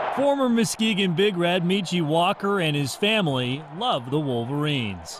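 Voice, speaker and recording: A high-pitched man at a moderate pace with hardly any pauses, very wide pitch swings and very even loudness, over noticeable background noise. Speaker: TV sports anchor and reporter. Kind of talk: TV sports news reporting.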